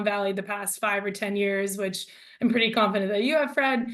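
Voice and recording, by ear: A woman at a medium pitch talks at a fairly quick pace with ordinary pitch variation.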